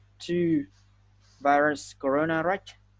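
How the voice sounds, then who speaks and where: The speaker has a Vietnamese accent, recorded against a quiet background. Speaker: English tutor. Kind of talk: online English lesson.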